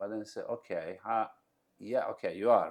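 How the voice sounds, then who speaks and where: A man speaks with a Bosnian accent. His pace is moderate. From Bosnia, Mostar. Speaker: entrepreneur. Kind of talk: interview. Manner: halting, with many fillers.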